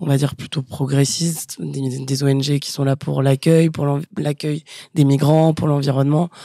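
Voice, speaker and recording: A woman speaks at a very deep, low pitch with fairly even intonation, in a dry recording with no echo and a quiet background. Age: 30s. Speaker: communications staff member; guest. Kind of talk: casual chat. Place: office. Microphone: studio mic.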